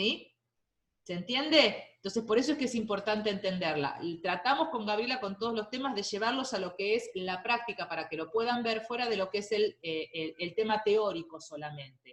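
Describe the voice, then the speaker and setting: A woman's fairly high voice with lively intonation. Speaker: university lecturer. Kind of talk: lecture. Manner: fast.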